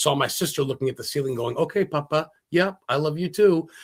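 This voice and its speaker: In an American accent, a man talks at a very fast pace with an animated tone and ordinary pitch variation. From Maine, US. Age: 40s. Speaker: paranormal investigator and historian. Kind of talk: casual interview.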